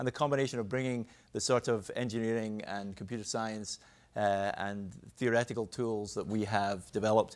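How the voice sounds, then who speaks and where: On a very clean recording with a silent background, a man with a fairly low voice speaks very fast with fairly even intonation. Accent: Scottish. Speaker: cardiologist and professor. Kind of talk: panel discussion.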